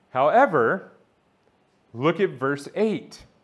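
A man is talking. Nothing much stirs in the background. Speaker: church elder, sermon preacher. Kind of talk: sermon preaching to a congregation. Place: church. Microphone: lapel.

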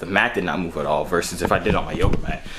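A man with a very deep, low pitch talks at a fairly quick pace over light background noise. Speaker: fitness vlogger. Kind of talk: casual product review vlog chat. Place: home room. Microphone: phone near.

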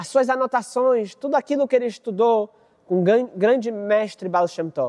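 Lively intonation and a warm, animated tone with a Brazilian accent against a quiet background. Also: man. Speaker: rabbi. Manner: narrative, warm and animated, acting out the dialogue of master and student. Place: studio.

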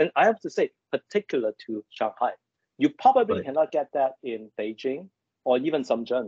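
A man talks at a moderate pace, his pitch swinging very widely. The sound is dry with no echo, and the background is quiet. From Hong Kong. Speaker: business executive and mentor. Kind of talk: interview. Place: home room. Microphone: video call.

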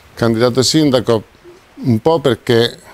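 In a dry sound with no echo, a man speaks at a medium pitch with ordinary pitch variation. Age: 50s. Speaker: mayoral candidate, restaurateur; candidate. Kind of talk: campaign presentation. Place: hall. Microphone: handheld.

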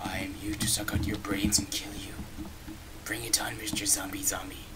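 Over loud background noise, a man with a fairly low pitch uses a put-on character voice at a moderate pace. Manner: menacing, growly.

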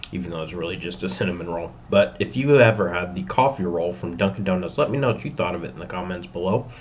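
A man speaks very fast while light background noise sits behind him. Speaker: food reviewer. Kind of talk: casual vlog chat. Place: home room. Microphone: webcam.

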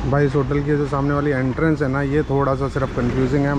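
Talking at a very fast pace in a flat monotone, a man is heard in a dry recording with no echo and noticeable background noise. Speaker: travel vlogger. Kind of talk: casual vlog chat. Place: street. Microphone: phone near.

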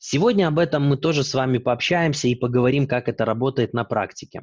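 A man uses a plain, everyday voice with a fairly high pitch and lively intonation at a moderate pace. The sound is dry with no echo, and the background is quiet. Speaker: e-learning developer and presenter. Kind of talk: webinar presentation. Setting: video call. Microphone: webcam.

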